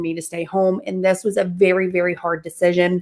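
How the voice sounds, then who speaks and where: Speaking at a moderate pace, a woman with a Southern US accent has a medium pitch. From US South. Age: 20s. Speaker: mindset and manifestation coach. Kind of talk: interview testimony.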